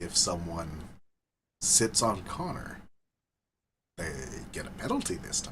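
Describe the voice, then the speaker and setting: A very deep, low-pitched man is soft-spoken at a fairly slow pace. His intonation is fairly even, with audible room echo around him. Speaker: hockey fan live stream co-host. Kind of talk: casual chat.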